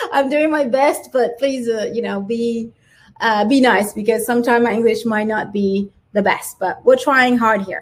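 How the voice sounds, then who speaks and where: Ordinary pitch variation in a woman's fairly high-pitched voice. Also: moderate pace. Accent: French. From France. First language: French. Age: 40s. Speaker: small business owner and digital planner artist. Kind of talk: live stream tutorial. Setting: livestream with chat.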